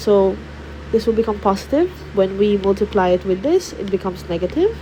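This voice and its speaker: With noticeable background noise behind her, a woman speaks at a moderate pace. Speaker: math tutor. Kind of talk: tutorial. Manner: hesitant.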